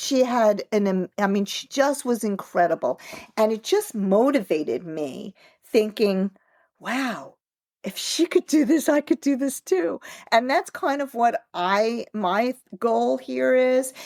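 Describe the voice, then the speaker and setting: A woman speaks very slowly in a fairly high voice with very wide pitch swings. The recording is very clean and dry, close with no echo, against a silent background. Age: 60s. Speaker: author and triathlete. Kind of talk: interview. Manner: conversational, many fillers.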